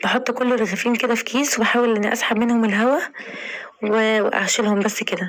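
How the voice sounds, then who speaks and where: Against noticeable background noise, a woman with an Egyptian accent speaks at a fairly high pitch. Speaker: home cooking vlogger. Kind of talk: tutorial.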